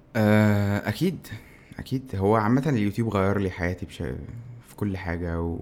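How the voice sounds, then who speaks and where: The man has an unremarkable speaking voice with a fairly low pitch. He speaks at a moderate pace with ordinary pitch variation. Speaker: tech YouTuber. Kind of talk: casual chat.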